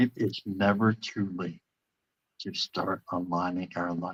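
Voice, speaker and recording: With a very deep, low pitch and fairly even intonation, a man speaks in a dry, close sound with no echo. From central Canada. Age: 50s. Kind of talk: interview. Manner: halting, many repetitions and fillers.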